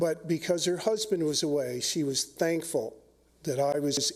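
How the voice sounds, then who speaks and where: This man's pitch is fairly high, with ordinary variation. He talks at a fairly slow pace, and there is noticeable background noise. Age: 60s. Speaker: pistol instructor speaking at public hearing. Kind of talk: public testimony. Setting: public hearing with audience.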